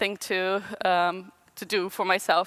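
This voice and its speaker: With a Portuguese accent, a woman talks in a bright, sharp tone, and the sound is dry and close with no echo. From Brazil. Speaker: designer. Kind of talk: conference talk. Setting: stage with audience. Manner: halting.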